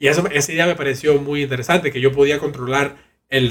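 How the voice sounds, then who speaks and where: This man talks very fast in a fairly high, somewhat breathy voice. His intonation stays fairly even. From Cuba and Costa Rica. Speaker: virtual reality designer. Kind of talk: interview conversation.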